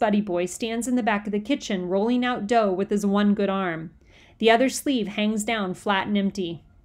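Reading aloud happens here in a natural voice.

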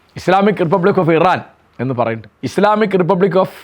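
With ordinary pitch variation, this man's voice sits high in pitch. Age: 70s. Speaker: commentator. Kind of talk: opinion monologue.

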